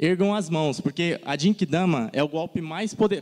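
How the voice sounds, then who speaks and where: A man speaks in an animated tone at a high pitch. His intonation is lively and the background is quiet. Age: 30s. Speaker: design content creator. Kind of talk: conference talk. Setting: stage with audience.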